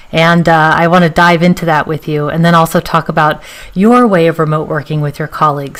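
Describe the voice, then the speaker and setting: Against noticeable background noise, a woman with an American accent talks at a fairly quick pace. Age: 40s. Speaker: interviewer. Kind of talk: interview.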